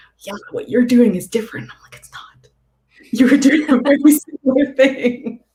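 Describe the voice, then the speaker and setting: Speaking with a Canadian accent at a moderate pace, a woman with a high pitch and a dark, mellow tone shows ordinary pitch variation, big swings in loudness, and long, frequent pauses. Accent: Canadian accent, slips sometimes. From Canada. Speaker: author. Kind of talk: casual chat.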